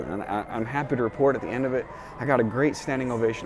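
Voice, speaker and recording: Music behind a man talking at a fairly quick pace. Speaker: keynote speaker. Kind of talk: casual talk to camera.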